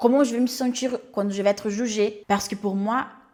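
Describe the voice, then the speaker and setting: A woman speaks with a Portuguese accent at medium pitch. Her intonation stays fairly even. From Brazil. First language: Portuguese (speaking French). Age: 30s. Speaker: life coach and YouTuber. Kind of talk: personal introduction vlog.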